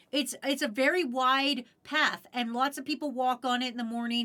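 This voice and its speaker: Projecting a raised voice, a woman speaks at a moderate pace with high pitch and a bright, sharp, animated tone. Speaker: streamer. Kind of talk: casual chat.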